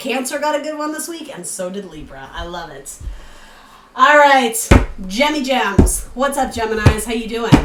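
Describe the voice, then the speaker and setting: With a New England accent, a woman speaks at a moderate pace and a fairly high pitch. Her pitch swings very widely over noticeable background noise. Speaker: tarot reader. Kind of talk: tarot reading. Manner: casual, chatty with fillers.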